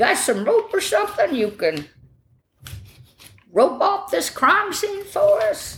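Pitched extremely high, a put-on character voice goes at a fairly slow pace with long, frequent pauses. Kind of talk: casual, folksy.

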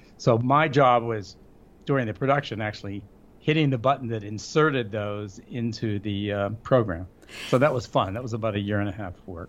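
Speaking fairly quickly, a man with an ordinary speaking voice keeps a medium pitch with ordinary pitch variation. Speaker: radio consultant and author. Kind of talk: casual interview chat. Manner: humorous, joking.

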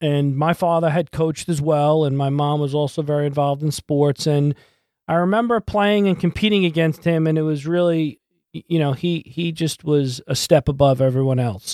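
A man with an American accent speaks at a moderate pace in a fairly high voice with ordinary pitch variation and a dark, mellow tone. The sound is dry and close, with no echo. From New York, Brooklyn then Long Island. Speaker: podcast host, mindset coach. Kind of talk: personal tribute monologue.

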